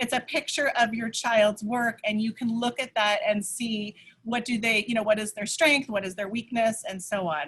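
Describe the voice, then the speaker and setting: A woman with a plain, everyday voice speaks at a moderate pace in a fairly high pitch with ordinary pitch variation. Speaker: elementary school teacher. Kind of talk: virtual parent information night with screen share.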